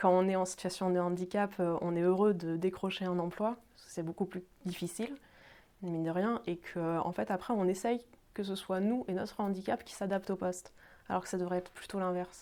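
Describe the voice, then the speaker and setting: A woman speaks at a medium pitch and a fairly quick pace, her intonation fairly even while her loudness swings widely. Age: 30s. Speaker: job seeker with epilepsy. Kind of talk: testimony. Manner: halting, many fillers.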